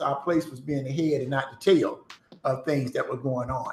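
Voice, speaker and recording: A man's voice with ordinary pitch variation. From US South, Newport News, Virginia. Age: 60s. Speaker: pastor. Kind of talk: interview.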